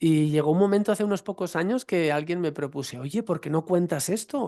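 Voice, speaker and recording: With a Catalan accent, a man speaks at a fairly quick pace in a high voice with a dark, mellow tone against a quiet background. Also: ordinary pitch variation. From eastern Spain, Valencian region (Vinaròs). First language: Catalan (speaking Spanish). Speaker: yoga teacher and researcher. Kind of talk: online Q&A talk.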